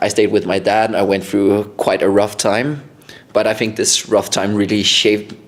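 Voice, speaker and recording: A man with a Danish accent speaks at a moderate pace in a fairly low pitch. His intonation is flat and monotone, and his loudness stays very even. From Denmark (Randers, later Copenhagen). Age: 20s. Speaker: vlogger. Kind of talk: casual chat. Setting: podcast filmed at home.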